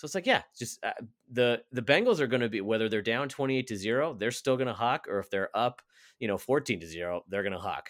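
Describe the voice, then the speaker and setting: Recorded very clean with a silent background and a dry, close sound with no echo, a man at medium pitch speaks at a very fast pace. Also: lively intonation. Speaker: podcast co-host. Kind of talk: casual chat.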